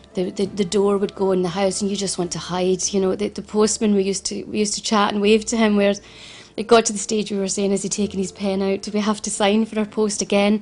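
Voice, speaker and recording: In a Glaswegian accent, a woman speaks at a very fast pace and medium pitch with monotone, flat intonation. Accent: Glaswegian Scottish. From Scotland, Glasgow. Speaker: financial adviser. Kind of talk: interview testimony. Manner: halting, many repetitions and fillers.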